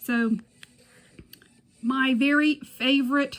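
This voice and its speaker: A woman with a Southern US accent talks very slowly in a high voice. Her intonation stays fairly even. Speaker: beauty YouTuber. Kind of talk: product review tutorial. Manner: casual.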